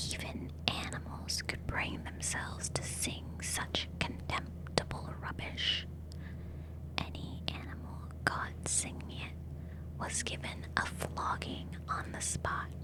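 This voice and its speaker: Very deep and low, a woman's voice moves at a very slow pace in a calm tone. Her intonation is monotone and flat over noticeable background noise. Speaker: ASMR artist. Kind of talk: ASMR audiobook reading. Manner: soft, whispery, calm.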